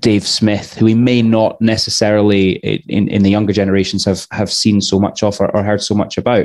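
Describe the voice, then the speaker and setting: Over a quiet background, a man speaks at a fairly quick pace and fairly low pitch, monotone and flat, with very even loudness. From Scotland. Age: 30s. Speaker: podcast host. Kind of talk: casual chat. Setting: live online show. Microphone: headset.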